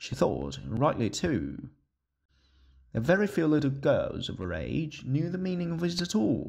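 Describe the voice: On a very clean recording with a silent background, a man speaks at a fairly slow pace in a fairly high pitch with very wide pitch swings, vocal fry, a slightly mellow tone and a slightly husky edge.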